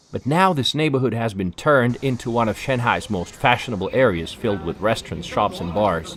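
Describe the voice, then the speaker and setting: Speaking at a fairly quick pace with hardly any pauses, a man uses lively intonation at a medium pitch, with noticeable background noise. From Russia. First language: Russian. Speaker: travel vlogger. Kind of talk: scripted narration.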